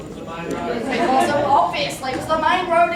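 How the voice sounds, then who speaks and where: The speech comes at a fairly slow pace with ordinary pitch variation, in an Australian accent. Noticeable background noise and audible room echo fill the recording. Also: woman. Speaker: tour guide. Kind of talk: live demonstration talk to visitors. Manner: loud, projecting to a crowd.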